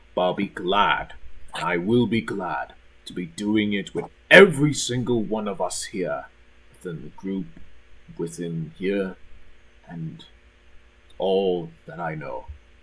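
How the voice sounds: A man speaks slowly in a low pitch with a slightly husky edge. His pauses are long and frequent. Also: ordinary pitch variation.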